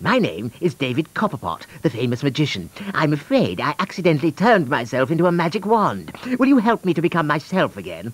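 A man puts on a character voice with a fairly high pitch, a fairly bright tone and a slightly husky edge. He talks at a fairly quick pace with few pauses and very wide pitch swings.

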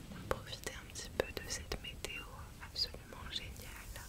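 Whispering and soft-spoken, a woman talks at a fairly slow pace in a soothing tone. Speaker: ASMR content creator. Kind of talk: soft casual chat to viewer. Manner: soft, soothing whispered voice. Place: home room.

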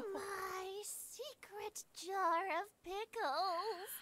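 In a put-on character voice, a female-sounding speaker uses an extremely high pitch.

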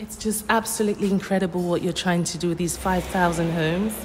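Music plays in the background. Over it, a woman speaks with ordinary pitch variation. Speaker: radio host. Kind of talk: scripted radio introduction. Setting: studio. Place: studio.

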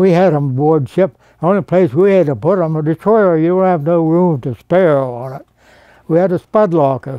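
With an American accent, a man speaks in a high pitch at a moderate pace with ordinary pitch variation. The sound is dry with no echo and the background is quiet. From Rochester, Pennsylvania. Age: 80s+. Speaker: World War II Navy veteran. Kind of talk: interview answer. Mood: relaxed, reminiscing. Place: home room. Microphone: lapel.

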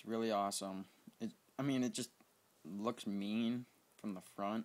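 Monotone, flat intonation marks this man's speech at a moderate pace. His pitch is fairly low. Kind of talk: casual game tour commentary. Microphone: phone near.

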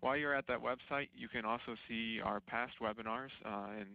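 In a normal speaking voice, a man talks at a fairly quick pace, his fairly low pitch held to a fairly even intonation. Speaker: webinar moderator. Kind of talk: webinar introduction. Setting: online webinar.

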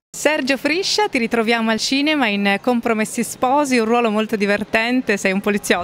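A woman with a normal speaking voice, fairly high in pitch, ordinary pitch variation, very even loudness and hardly any pauses, dry sound with no echo and light background noise. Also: moderate pace. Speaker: interviewer. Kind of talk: interview. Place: hall. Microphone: phone near.

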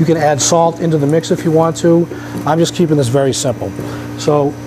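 Over noticeable background noise, a man with a fairly high pitch talks at a fairly quick pace, keeping very even loudness and fairly even intonation. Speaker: flavor company guest demonstrator; guest. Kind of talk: live cooking demonstration. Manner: quiet, hard to hear. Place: kitchen. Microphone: wearing a microphone, still quiet.

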